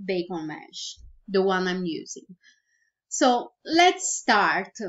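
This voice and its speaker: A woman with a Brazilian Portuguese accent speaks very slowly at a medium pitch. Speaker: virtual product creator. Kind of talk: tutorial. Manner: halting.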